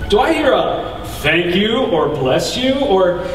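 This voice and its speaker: A man drags out his words at a very slow pace, his pitch swinging very widely, with noticeable background noise behind him. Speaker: speaker at a church event. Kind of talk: spoken word poetry performance. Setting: live talk in front of an audience.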